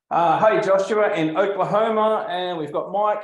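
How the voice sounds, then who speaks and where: A man with an Australian accent at a moderate pace, with audible room echo. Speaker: landscape photographer and art business coach. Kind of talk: live webinar presentation. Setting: livestream video call. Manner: casual, with frequent fillers.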